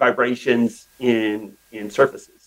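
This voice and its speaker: A man with an American accent, at a very slow pace. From US West, northeastern Oregon. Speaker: tech company CEO. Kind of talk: interview. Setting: podcast interview.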